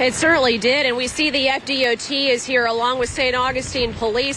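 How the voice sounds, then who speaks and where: Against noticeable background noise, a woman with a high pitch talks at a fairly quick pace with fairly even intonation. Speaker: field reporter. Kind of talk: live field report. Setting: outdoors in hurricane. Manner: loud, yelling over wind.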